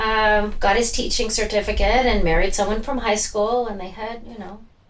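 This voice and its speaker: A woman with a fairly high pitch talks at a moderate pace with ordinary pitch variation and big swings in loudness, over noticeable background noise. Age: 60s. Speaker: florist and flower farmer. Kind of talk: interview answer. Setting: room microphones.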